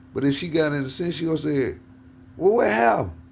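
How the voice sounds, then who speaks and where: In a room with audible echo, a man speaks in an animated tone. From US South. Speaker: podcast host. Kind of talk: casual chat.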